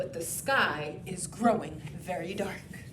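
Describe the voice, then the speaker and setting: A woman's put-on character voice at medium pitch and a fairly slow pace, with clear background noise. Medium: read story. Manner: jittery, repeats words.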